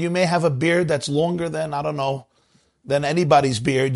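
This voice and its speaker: An ordinary speaking voice belongs to this man. He moves at a fairly quick pace with fairly even intonation. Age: 40s. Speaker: rabbi. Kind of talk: live online discussion. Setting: online event with audience.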